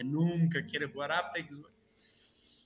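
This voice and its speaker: A man speaks with a Mexican accent. His intonation stays flat and monotone. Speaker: podcast host. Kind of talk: casual chat. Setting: video stream.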